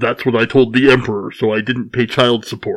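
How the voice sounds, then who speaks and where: A man puts on a character voice at a medium pitch, talking at a fairly quick pace. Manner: menacing.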